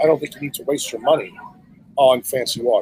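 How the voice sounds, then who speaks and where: Noticeable background noise is present. Over it, a man speaks very fast. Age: 60s. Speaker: neurosurgeon and health speaker. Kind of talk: podcast interview.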